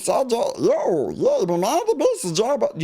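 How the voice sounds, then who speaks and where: A nasal, put-on character voice at a moderate pace, with noticeable background noise. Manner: goofy.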